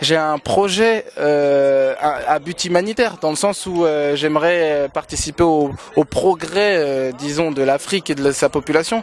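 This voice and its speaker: A man talks at a very slow pace in a fairly high pitch with ordinary pitch variation. Light background noise sits under a dry sound with no echo. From Congo-Brazzaville. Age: 20s. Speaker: male pageant winner, actor and director; interviewee. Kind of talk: interview. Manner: hesitant, many fillers. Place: street. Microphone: handheld.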